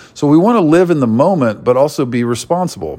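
A man is talking. His pitch swings very widely. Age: 50s. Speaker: artist and musician podcaster. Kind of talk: solo monologue podcast. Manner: hesitant with frequent fillers.

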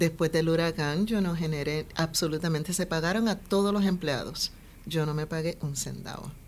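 The speaker uses a normal speaking voice, keeping a moderate pace and fairly even intonation. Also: woman, fairly low pitch for a woman. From Puerto Rico. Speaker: fashion designer and boutique owner. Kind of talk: interview.

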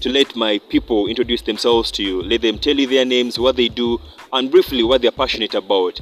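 A man talks at medium pitch. Behind him there is noticeable background noise. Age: 20s. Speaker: podcast host. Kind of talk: casual chat.

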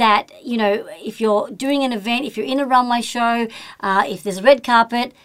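A woman with a normal speaking voice talks at a fairly quick pace. Her pitch is fairly high, with ordinary pitch variation. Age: 50s. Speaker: podcast host and talent agent. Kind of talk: interview. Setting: studio.

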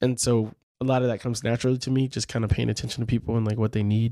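A man's dark, mellow, medium-pitched voice at a very fast pace, on a very clean recording with a silent background. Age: 40s. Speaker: professor and podcast co-host. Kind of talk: casual chat. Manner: animated.

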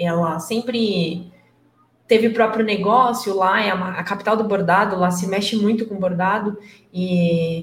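Audible room echo surrounds a woman with a medium pitch. She speaks at a fairly slow pace with fairly even intonation. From interior of São Paulo state, Brazil. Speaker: IT entrepreneur. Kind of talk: casual chat.

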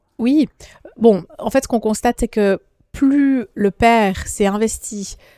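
On a very clean recording with a silent background and a dry, close sound with no echo, a woman with a plain, everyday voice speaks at a fairly slow pace with ordinary pitch variation. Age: 30s. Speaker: politician and lawyer. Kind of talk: interview.

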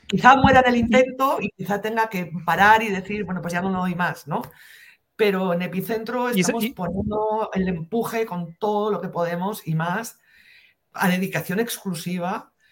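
A woman's somewhat breathy voice at a medium pitch, with ordinary pitch variation and a moderate pace. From northern Spain, near the French border. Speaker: investigative journalist. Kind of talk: interview.

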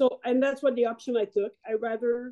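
Her tone dark and mellow, a woman with a fairly high pitch speaks at a fairly quick pace with fairly even intonation.

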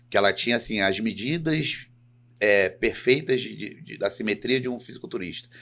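In an ordinary speaking voice of medium pitch, a man speaks at a fairly quick pace. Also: very clean recording, silent background. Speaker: professional bodybuilder. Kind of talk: casual chat.

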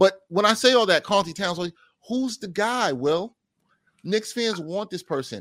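A high-pitched man with a New York accent is heard on a very clean recording with a silent background and a dry, close sound with no echo. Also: ordinary pitch variation, moderate pace. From Brooklyn, New York City. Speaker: sports journalist and radio anchor. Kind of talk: casual chat.

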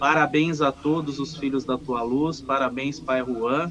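A man speaking at a fairly slow pace, fairly even intonation, noticeable background noise. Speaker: umbanda practitioner and singer. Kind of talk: casual chat. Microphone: too quiet.

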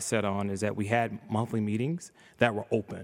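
Here is a man with an ordinary speaking voice and an American accent. He speaks at a fairly low pitch and moderate pace in a very clean recording with a silent background. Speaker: state politician. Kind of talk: casual interview.

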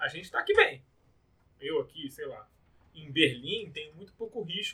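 The man talks at a fairly slow pace. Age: 30s. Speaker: podcast host. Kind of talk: casual chat.

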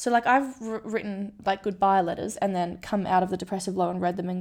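With an Australian accent, a woman talks at a medium pitch and fairly quick pace, her intonation fairly even, on a very clean recording with a silent background. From Western Australia (Kalgoorlie). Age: 20s. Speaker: podcast host and gold prospector. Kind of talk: personal monologue, casual. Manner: chatty, laughs often.

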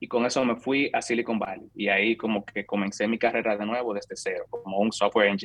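With fairly even intonation and a medium pitch, a man talks at a fairly quick pace in an unremarkable speaking voice. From Dominican Republic, San Francisco de Macorís. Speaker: software engineer. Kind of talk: interview conversation.

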